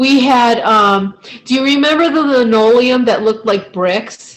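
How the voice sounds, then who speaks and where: A woman talks at a fairly slow pace with a fairly high pitch. Her intonation is lively, and it is a normal speaking voice. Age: 40s. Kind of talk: casual chat.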